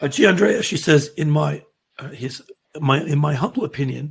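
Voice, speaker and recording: At a moderate pace, a man speaks with an American accent. His fairly high voice has vocal fry. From not US. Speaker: options trading educator. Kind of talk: live trading show chat. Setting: livestream video call.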